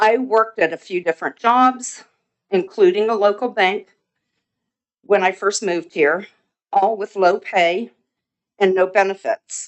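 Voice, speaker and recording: A woman at a medium pitch with ordinary pitch variation, a fairly slow pace and long, frequent pauses. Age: 60s. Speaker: resident speaking at public comment. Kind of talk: public comment at council meeting. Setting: city council meeting.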